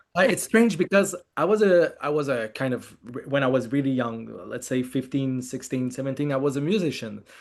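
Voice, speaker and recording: A man talks with a French Canadian accent at a medium pitch. His pace is fairly quick and his intonation lively. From Quebec, Montreal. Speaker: film director. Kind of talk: interview. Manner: halting.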